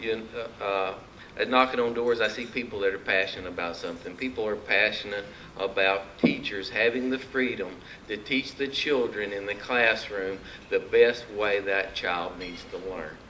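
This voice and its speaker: Speaking at a moderate pace with an Arkansas accent, a man with a fairly low voice shows ordinary pitch variation. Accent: Arkansas country. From Arkansas (Mountain View). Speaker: political candidate. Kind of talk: campaign speech. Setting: luncheon meeting with audience. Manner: folksy, animated.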